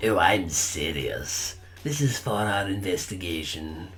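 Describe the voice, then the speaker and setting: In a put-on character voice, a man speaks at a fairly slow pace with lively intonation and a fairly low pitch, with clear background noise behind him. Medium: game stream. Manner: calm, measured.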